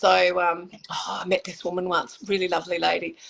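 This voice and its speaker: At a moderate pace and medium pitch, a woman speaks in a plain, everyday voice. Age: 60s. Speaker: makeup artist and motivational speaker. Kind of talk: casual interview chat.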